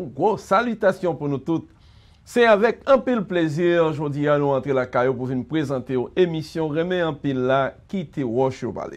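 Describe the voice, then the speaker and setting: Speaking with a Haitian accent, a man uses lively intonation at a moderate pace. His voice sits fairly high. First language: Haitian Creole (speaking French). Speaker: pastor and radio host; pastor, radio host. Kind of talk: radio interview. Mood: warm, smiling. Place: studio.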